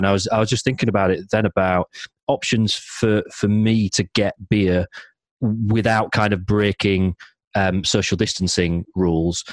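Speaking with a South Yorkshire accent at a moderate pace, the voice stays in monotone, flat intonation with a dry, close sound and no echo. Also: man. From South Yorkshire, Barnsley. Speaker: beer podcast host. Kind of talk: casual chat.

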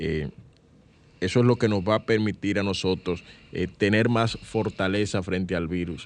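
Speaking in an ordinary speaking voice, a man talks at a fairly slow pace with fairly even intonation and fairly low pitch. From Dominican Republic, San Cristóbal. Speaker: radio host, journalist. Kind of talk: radio show hosting. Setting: radio studio.

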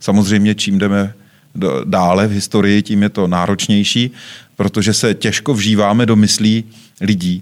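Speaking at a moderate pace, a man uses a plain, everyday voice with a fairly low pitch. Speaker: museum director. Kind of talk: discussion. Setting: studio.

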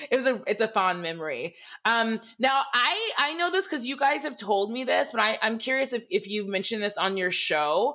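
A woman with an American accent talks at a moderate pace with a fairly high pitch and very wide pitch swings. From Michigan, US. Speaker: horror podcast host. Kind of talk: casual chat.

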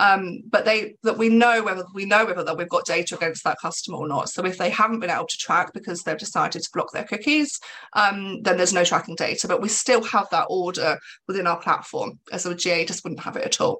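Speaking at a fairly quick pace, a woman with an English accent has a medium pitch. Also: ordinary pitch variation. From England. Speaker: business executive. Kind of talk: interview.

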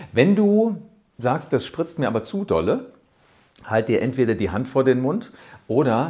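With lively intonation, a man delivers his words at a fairly slow pace. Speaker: rhetoric coach and podcast host. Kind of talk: tutorial. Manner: animated.

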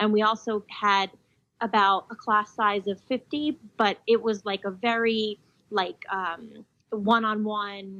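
A woman with an American accent speaks very slowly at a fairly high pitch, her intonation fairly even. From New Jersey. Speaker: physician assistant and PA faculty. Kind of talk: interview.

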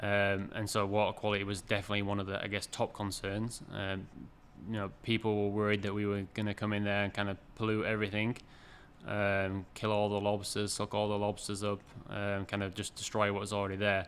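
Speaking at a fairly quick pace, a man keeps his fairly low voice monotone and flat. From England (York). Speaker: aquaculture farm manager. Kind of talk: interview. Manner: hesitant, frequent fillers.

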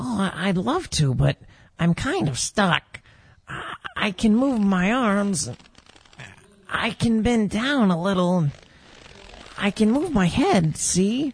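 Delivered in a put-on character voice at a fairly slow pace, the speech is broken by long, frequent pauses. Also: female-sounding voice, medium pitch for a woman. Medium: audio drama. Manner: hesitant, stammering, wondering.

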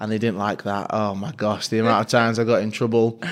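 A man is speaking. He has a Mancunian accent. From Manchester, Fallowfield. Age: 30s. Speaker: sports presenter. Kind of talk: interview.

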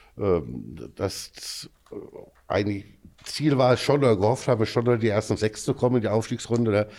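A man speaks at a moderate pace in a fairly low pitch with vocal fry and a dark, mellow tone, leaving long, frequent pauses. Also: ordinary pitch variation, very even loudness. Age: 50s. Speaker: amateur football club official. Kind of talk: podcast interview.

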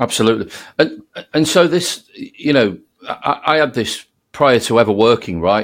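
Lively intonation from a man with a medium pitch, at a moderate pace. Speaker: sales podcast host. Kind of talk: interview. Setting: remote recording. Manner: halting, many repeated words.

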